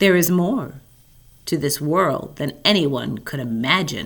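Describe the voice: A booming, put-on character voice sits at a low-to-middle pitch. The pace is fairly slow.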